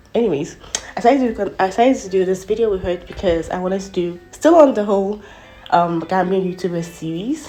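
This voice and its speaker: A woman speaks at a fairly quick pace with medium pitch and ordinary pitch variation. Music plays in the background. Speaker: beauty YouTuber. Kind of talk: makeup tutorial voiceover. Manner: fast.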